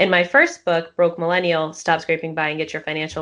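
A woman with a normal speaking voice talks at a fairly quick pace and a fairly low pitch over a quiet background. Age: 20s. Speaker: personal finance author. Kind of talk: interview.

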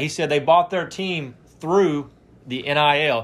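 A man speaks with an Alabama accent. His pace is moderate. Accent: Southern US (Alabama). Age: 20s. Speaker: sports podcast host. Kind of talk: casual chat.

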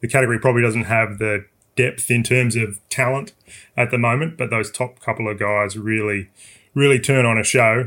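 A man with a medium pitch speaks with an Australian accent at a fairly quick pace. The recording is very clean, with a silent background. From South Australia. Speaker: motorsport journalist. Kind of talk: casual chat.

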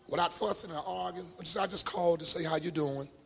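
Raised, projected voice of a man, animated in tone with lively intonation, at a moderate pace over noticeable background noise. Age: 50s. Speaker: pastor. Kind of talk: sermon. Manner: animated, emphatic with repetition.

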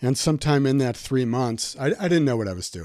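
Lively intonation colors a plain, everyday voice in a very clean recording with a silent background. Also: man. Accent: American. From Milwaukee, Wisconsin, US Midwest. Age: 60s. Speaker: psychotherapist.

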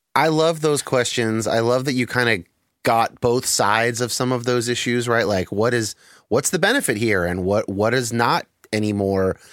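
A man in a plain, everyday voice, at a moderate pace with ordinary pitch variation and very even loudness, on a very clean recording with a silent background. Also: medium pitch for a man. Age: 30s. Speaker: podcast host. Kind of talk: casual interview conversation.

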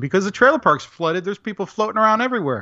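Lively intonation marks this man's speech. He talks in an American accent. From Central Florida. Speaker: graphic designer and game master. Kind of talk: casual interview.

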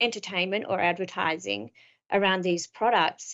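The speaker is a woman with an Australian accent. She talks at a medium speed. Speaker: business strategy consultant and author. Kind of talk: interview.

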